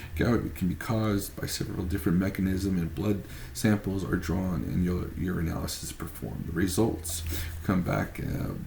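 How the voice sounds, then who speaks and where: In a room with audible echo, a man speaks with a very deep, low pitch, a dark, mellow tone, some breathiness and ordinary pitch variation. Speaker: student presenting a case study. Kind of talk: class presentation. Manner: halting, stumbles over words.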